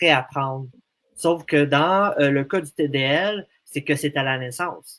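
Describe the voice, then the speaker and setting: The speech comes at a very slow pace with ordinary pitch variation. The sound is dry and close, with no echo. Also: man. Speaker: association representative with a language disorder. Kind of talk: radio interview. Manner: halting, many hesitations.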